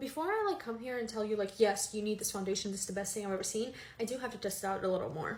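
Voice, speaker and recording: Audible room echo surrounds a woman who talks at a very fast pace with a fairly high pitch and ordinary pitch variation. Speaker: beauty content creator. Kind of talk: makeup tutorial. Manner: casual, filler-heavy; whispering at one point.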